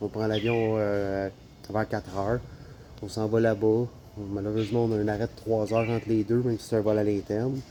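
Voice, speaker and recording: A man's dark, mellow voice in a Quebec accent, with monotone, flat intonation. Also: fairly low pitch for a man, moderate pace. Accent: Québécois French. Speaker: travel vlogger. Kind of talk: casual vlog talk.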